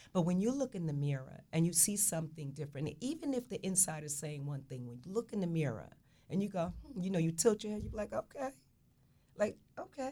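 Very fast and somewhat breathy, a woman's fairly low voice has a dark, mellow tone and very wide pitch swings. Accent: New Jersey. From Newark, New Jersey. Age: 60s. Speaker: fashion stylist. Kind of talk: radio talk show conversation.

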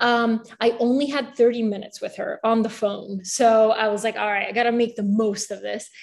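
A woman with an American accent speaks at a moderate pace in a fairly high pitch, her intonation monotone and flat, with hardly any pauses. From Bulgaria, moved to the US at age eight. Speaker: newsletter founder and writer, former reporter. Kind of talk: interview. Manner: casual with many fillers.

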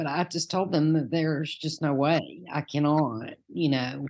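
Very deep, low pitch from a woman, delivered at a fairly slow pace. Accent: Southern US. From Knoxville, Tennessee. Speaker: minister candidate, Sunday school teacher. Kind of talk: casual interview about faith journey.

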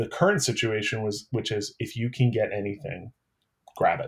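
On a very clean recording with a silent background, a man at a medium pitch sounds somewhat breathy, his intonation fairly even. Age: 40s. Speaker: city council candidate. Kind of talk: interview.

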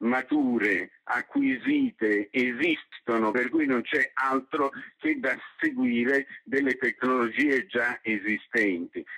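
Very slowly, a man speaks at medium pitch with ordinary pitch variation and a bright, sharp tone. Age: 70s. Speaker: journalist and ebook publisher. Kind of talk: interview. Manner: halting.

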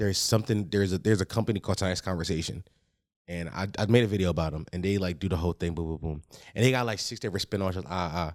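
A man with a very deep, low voice talks very fast with ordinary pitch variation, recorded very cleanly over a silent background. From Philadelphia. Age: 20s. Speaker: podcaster. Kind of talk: casual chat.

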